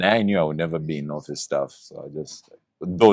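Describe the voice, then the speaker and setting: A man with very deep, low pitch and fairly even intonation at a moderate pace, in a dry, close sound with no echo. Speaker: voice-over artist. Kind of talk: casual chat.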